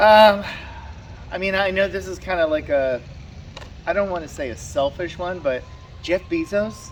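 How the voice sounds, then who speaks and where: A loud man talks at a moderate pace in a high pitch, with ordinary pitch variation and long, frequent pauses. Noticeable background noise runs behind him. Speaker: YouTuber. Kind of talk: casual chat. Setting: outdoors. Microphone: camera far away.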